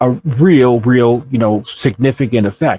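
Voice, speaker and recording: A man talks at a medium pitch in a plain, everyday voice with ordinary pitch variation. The recording is dry and close, with no echo. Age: 60s. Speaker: abduction podcast co-host. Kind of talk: casual chat.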